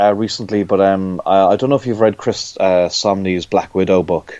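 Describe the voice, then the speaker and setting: In an Irish accent, a man speaks with a fairly low voice. His pace is moderate. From Ireland. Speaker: comic book artist. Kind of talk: interview. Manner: halting, many fillers and repetitions.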